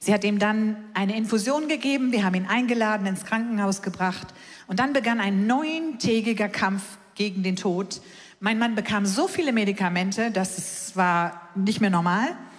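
A woman speaks at a moderate pace and medium pitch with very even loudness. Noticeable background noise and audible room echo fill the recording. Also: ordinary pitch variation. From Hamburg, northern Germany. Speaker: evangelist. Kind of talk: sermon.

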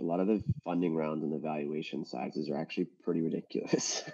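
Talking very fast, a man has a very deep, low pitch and a dark, mellow tone. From Atlanta, Georgia. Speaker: venture capital investor. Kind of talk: panel discussion.

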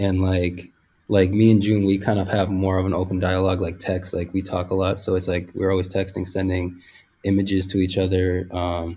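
At a fairly quick pace, a man with a very deep, low pitch speaks in a dark, mellow, somewhat breathy tone with monotone, flat intonation. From Puerto Rican heritage, US. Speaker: apparel designer. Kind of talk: casual chat.

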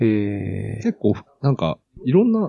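Recorded dry and close with no echo, a man's voice makes very wide pitch swings. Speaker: software developer and hobby guitarist. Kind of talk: casual chat. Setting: Skype call. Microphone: new cheap mic at max volume, fairly quiet.

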